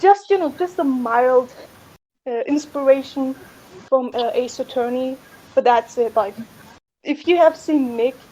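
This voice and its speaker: A woman with a strong non-native accent speaks at a high pitch with ordinary pitch variation. Her pace is fairly slow, broken by long, frequent pauses. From outside North America. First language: not English. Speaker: fan game creator. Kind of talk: casual chat.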